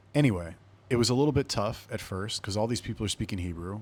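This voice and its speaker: With a West Coast US accent, a man speaks in an animated tone at a fairly low pitch with ordinary pitch variation. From Los Angeles, California. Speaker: podcast host, army veteran. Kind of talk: casual solo storytelling. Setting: indoor room with air conditioning. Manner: animated, conversational.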